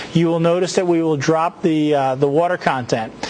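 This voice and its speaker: Noticeable background noise runs under a man's speech. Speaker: university lecturer. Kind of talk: lecture. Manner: fast.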